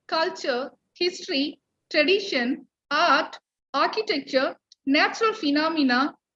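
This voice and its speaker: A woman's raised, projected voice, extremely high in pitch with a bright, sharp tone, lively intonation and a fairly slow pace. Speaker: college principal. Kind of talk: welcome speech. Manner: formal.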